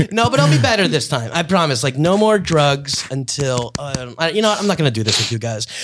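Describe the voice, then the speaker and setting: With an American accent, a man talks at a fairly quick pace with hardly any pauses, a fairly high pitch and lively intonation over noticeable background noise. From US Northeast. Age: 30s. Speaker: podcast host, comedian. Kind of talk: casual chat. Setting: studio.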